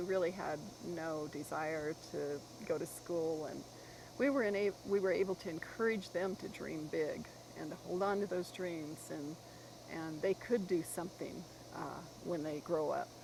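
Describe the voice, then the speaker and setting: In a plain, everyday voice, a woman speaks at a moderate pace with fairly low pitch and fairly even intonation. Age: 60s. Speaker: author and long-distance walker. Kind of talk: interview.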